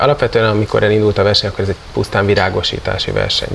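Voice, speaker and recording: A man talks at a fairly low pitch. Light background noise can be heard. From Hungary. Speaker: national competition organizer. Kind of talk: interview. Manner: hesitant with fillers. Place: garden. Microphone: lapel.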